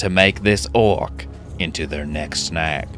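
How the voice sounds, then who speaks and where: Music in the background behind a man's very deep, low voice, fairly slow, with ordinary pitch variation. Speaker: gaming YouTuber. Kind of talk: dramatic nature-documentary style narration.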